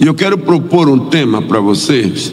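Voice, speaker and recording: The speech moves at a fairly slow pace with lively intonation, amid noticeable background noise and audible room echo. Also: man. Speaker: missionary pastor. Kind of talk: sermon. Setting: church.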